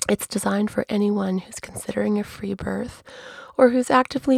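A woman speaks at a moderate pace with ordinary pitch variation. The sound is dry and close with no echo, though background noise is noticeable. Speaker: podcaster and birth attendant. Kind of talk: podcast monologue.

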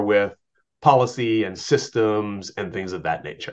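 Here a man speaks in a normal speaking voice at a medium pitch. He talks at a fairly slow pace with ordinary pitch variation. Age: 50s. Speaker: education testing advocate. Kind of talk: interview.

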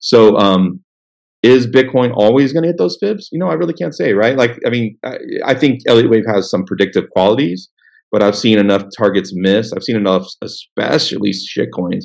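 An American-accented man with a fairly low pitch, ordinary pitch variation and a moderate pace. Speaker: crypto trading analyst. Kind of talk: interview. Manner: halting.

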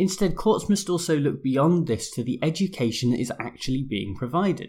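A man with a British accent speaks at a moderate pace with lively intonation. The recording is very clean, with a silent background. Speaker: law podcast host. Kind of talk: scripted explainer monologue.

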